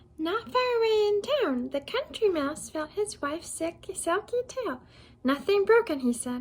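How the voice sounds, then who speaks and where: A put-on character voice from a woman, extremely high-pitched and squeaky, with very wide pitch swings at a moderate pace. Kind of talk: bedtime story. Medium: read story. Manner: warm, chatty, giggly.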